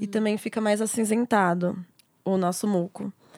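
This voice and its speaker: Her voice is dark and mellow, and this woman speaks at medium pitch and a moderate pace with fairly even intonation. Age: 20s. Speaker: midwife. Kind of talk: casual chat.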